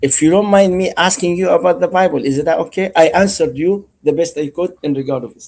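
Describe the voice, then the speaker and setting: A man with an Arabic accent talks very fast in a high voice, with hardly any pauses. His pitch variation is ordinary, while his loudness swings widely. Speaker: caller. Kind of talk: religious debate.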